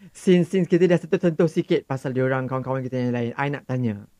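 With lively intonation and a medium pitch, a man speaks in a normal speaking voice, with a dry, close sound and no echo. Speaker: podcast host. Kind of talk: casual chat.

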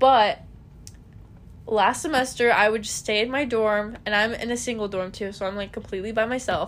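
A woman has a plain, everyday voice at a fairly high pitch. She keeps a moderate pace with fairly even intonation. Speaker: podcast co-host. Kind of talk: casual chat. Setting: bedroom, recording at home.

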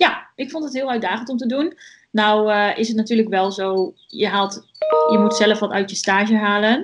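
With a normal speaking voice, a woman talks at a moderate pace and a fairly high pitch, using ordinary pitch variation. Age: 20s. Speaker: student. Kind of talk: podcast interview.

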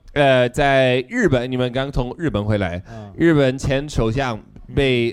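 Man's medium-pitched voice at a fairly slow pace, ordinary pitch variation, music playing in the background. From United States. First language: English (speaking Chinese). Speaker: political satire YouTuber. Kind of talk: live comedic interview.

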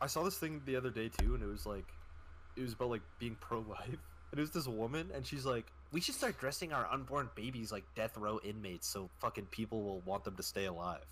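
A man with a Canadian accent and vocal fry speaks at a fairly quick pace with very wide pitch swings. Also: medium pitch for a man. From Canada. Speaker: podcast guest. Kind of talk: casual chat.

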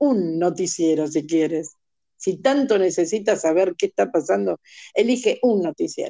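This woman's tone is dark and mellow. She talks at a fairly slow pace with lively intonation. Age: 60s. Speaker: motivational coach and singing teacher. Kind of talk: casual interview.

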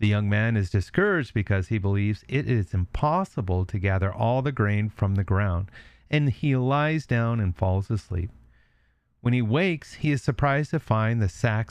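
An ordinary speaking voice talks at a moderate pace with lively intonation and very even loudness. The background is quiet. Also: man. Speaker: storyteller. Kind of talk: reading aloud.

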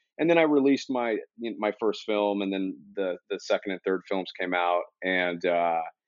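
With an American accent, a man uses an ordinary speaking voice, pitched fairly low and moving at a moderate pace. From San Diego, California. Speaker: cinematographer. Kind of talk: casual chat.

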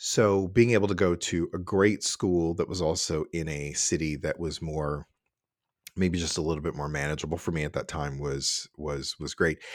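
In a very clean recording with a silent background, a man with a very deep, low voice speaks at a moderate pace with fairly even intonation. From Cincinnati, Ohio, US Midwest. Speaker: orchestra administrator, former horn player. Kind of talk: casual interview conversation.

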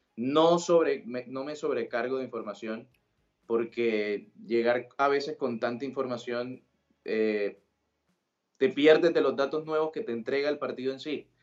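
Here is a plain, everyday voice from a man at medium pitch. He talks fairly slowly with ordinary pitch variation. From Colombia, Sincelejo, Sucre (Caribbean coast). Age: 20s. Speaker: football commentator. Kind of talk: casual interview.

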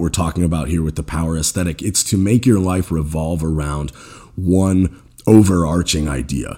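A man talks with a very deep, low pitch and ordinary pitch variation. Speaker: podcast host and jiu-jitsu competitor. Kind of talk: solo podcast monologue.

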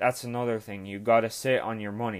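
A man with an Irish accent talks at a medium pitch with fairly even intonation. The recording is very clean, with a silent background. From Ireland. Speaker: sports card collector and podcaster. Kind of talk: casual solo podcast tutorial. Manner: casual, hesitant with fillers.

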